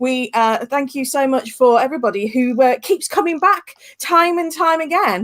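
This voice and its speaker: In a Birmingham accent, a woman speaks at a moderate pace. Her voice is high, and her intonation is lively. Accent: Brummie. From West Midlands, England (Staffordshire). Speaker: tour guide hosting online tours. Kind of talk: casual wrap-up of a live online tour. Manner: hesitant, many fillers.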